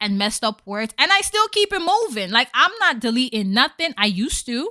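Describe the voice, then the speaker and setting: A woman talks at a moderate pace in a high pitch with a bright, sharp, animated tone. The sound is dry and close, with no echo. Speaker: podcast host. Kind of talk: casual monologue. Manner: stutters at times.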